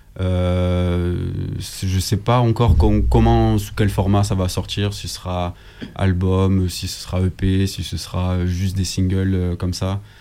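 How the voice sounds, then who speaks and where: A man with a very deep, low voice talks at a very slow pace. His pitch varies in an ordinary way over noticeable background noise. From southern France, Nîmes. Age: 20s. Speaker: rapper. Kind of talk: radio interview.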